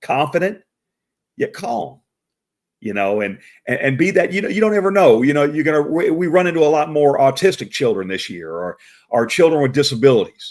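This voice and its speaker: Loud and at a fairly quick pace, a man with a fairly high pitch talks with very wide pitch swings. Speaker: professional Santa Claus and show host. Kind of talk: live stream talk. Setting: live video stream. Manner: loud, boisterous; halting, many repeated words.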